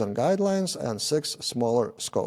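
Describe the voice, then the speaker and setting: The speaker has a dark, mellow tone and a non-native accent and keeps a moderate pace. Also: man. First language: not English. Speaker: software developer and tech YouTuber. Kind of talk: conference talk. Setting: meetup presentation with audience. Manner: hesitant, with many filler sounds.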